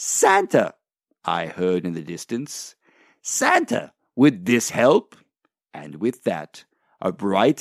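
In a dramatic, warm tone with vocal fry, a man speaks very slowly with long, frequent pauses, very wide pitch swings and big swings in loudness, recorded dry and close with no echo. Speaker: Santa Claus character. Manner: warm, jolly, gently animated; storyteller's dramatic pacing, joyful exclamations at the climax.

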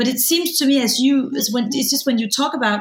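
A woman with a Danish accent and ordinary pitch variation, over noticeable background noise. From Denmark. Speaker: film director and interviewer. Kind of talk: interview.

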